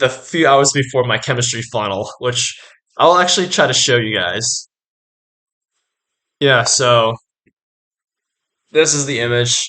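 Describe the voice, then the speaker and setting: A man at a medium pitch with a bright, sharp tone, ordinary pitch variation, a fairly slow pace and long, frequent pauses. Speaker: art student YouTuber. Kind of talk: casual educational vlog. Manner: many filler words, hesitant.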